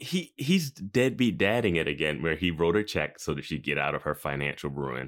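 With hardly any pauses, a man talks at a moderate pace in a very deep, low voice with vocal fry and lively intonation. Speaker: podcast host. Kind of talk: casual chat. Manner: joking.

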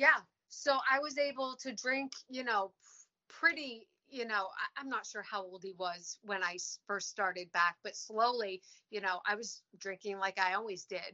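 A woman at a moderate pace, a plain, everyday voice, fairly high in pitch, with big swings in loudness. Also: ordinary pitch variation. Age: 40s. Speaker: recovery coach. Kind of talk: casual interview.

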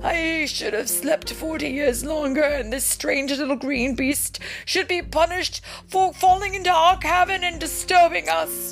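A put-on character voice pitched high rings out over clear music in the background. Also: moderate pace. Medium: read story. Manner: grumpy, weary.

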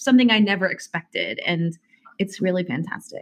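A somewhat breathy woman with an American accent and lively intonation. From Indiana, US Midwest. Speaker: singer. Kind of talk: casual interview chat.

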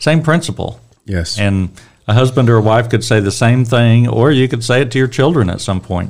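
A man speaks in an unremarkable speaking voice at a moderate pace, with medium pitch and ordinary pitch variation. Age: 60s. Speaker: church Bible teacher. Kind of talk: Bible study discussion.

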